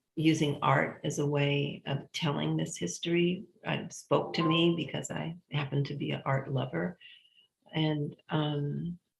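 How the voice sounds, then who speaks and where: This voice moves at a fairly slow pace, with lively intonation and audible vocal fry. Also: woman, very deep, low pitch for a woman. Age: 70s. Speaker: foundation president, former party member. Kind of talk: interview conversation. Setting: live stream.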